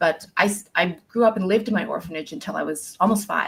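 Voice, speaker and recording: A somewhat breathy voice with a non-native accent, at a fairly quick pace and with lively intonation. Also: woman. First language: not English. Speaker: career coach, former speech pathologist. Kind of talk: interview conversation. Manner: halting, many fillers.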